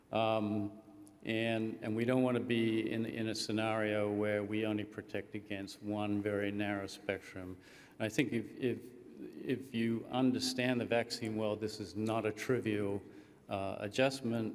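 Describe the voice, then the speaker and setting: Speaking at a fairly slow pace, a man with a fairly low pitch keeps a monotone, flat intonation while audible room echo surrounds him. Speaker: government research scientist giving a conference overview. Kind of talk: conference presentation. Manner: halting, many fillers.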